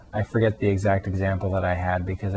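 In an American accent, a man with a normal speaking voice talks at a fairly quick pace and fairly low pitch, his intonation fairly even. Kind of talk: casual video response talk to camera.

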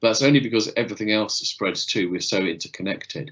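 Vocal fry runs through this man's speech. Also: quiet background. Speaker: lecturer giving an online talk. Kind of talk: lecture. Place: home room. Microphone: webcam.

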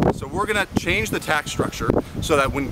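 With a Canadian accent, a man speaks in a dry sound with no echo over loud background noise. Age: 20s. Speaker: student union president. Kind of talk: political campaign pitch to camera. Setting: outdoors. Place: open country. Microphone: phone near.

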